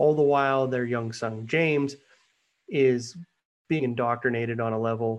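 Fairly even intonation carries this fairly slow delivery. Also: man. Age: 30s. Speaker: novelist. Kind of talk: interview. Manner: halting, many fillers.

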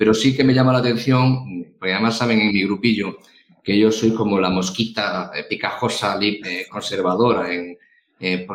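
His is a plain, everyday voice, a man pitched fairly low with fairly even intonation. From Galicia, Spain. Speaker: podcast co-host. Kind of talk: casual interview chat.

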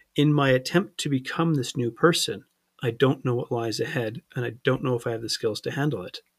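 This man talks at a fairly quick pace with a medium pitch and ordinary pitch variation. His voice is somewhat breathy. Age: 30s. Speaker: life coach. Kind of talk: interview.

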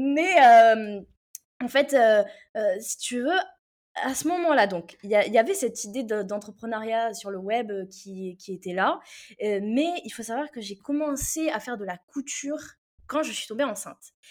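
A woman speaks fairly slowly, with long, frequent pauses and big swings in loudness. Her fairly high voice has lively intonation. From Réunion. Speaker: copywriting mentor. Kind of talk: interview. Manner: halting.

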